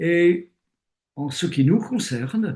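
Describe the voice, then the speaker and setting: A man talking at a very slow pace. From Britain. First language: English (speaking French). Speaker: retired theologian and bible teacher. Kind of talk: interview. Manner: hesitant with fillers.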